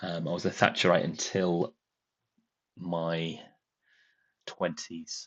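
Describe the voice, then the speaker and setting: A man with a northern English accent talks at a very slow pace in a very deep, low voice, with monotone, flat intonation and long, frequent pauses. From northern England. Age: 40s. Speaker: political commentator, former lecturer. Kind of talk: live stream commentary. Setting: live stream. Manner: hesitant, many fillers.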